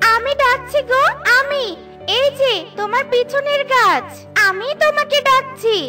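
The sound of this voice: Faint music plays behind a cartoonish character voice with a bright, sharp tone. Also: ordinary pitch variation, fairly slow pace.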